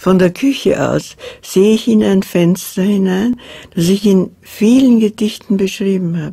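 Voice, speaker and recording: A somewhat breathy woman's voice at medium pitch, dark and mellow in tone, with ordinary pitch variation and a fairly slow pace. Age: 80s+. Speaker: poet. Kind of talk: documentary interview talk.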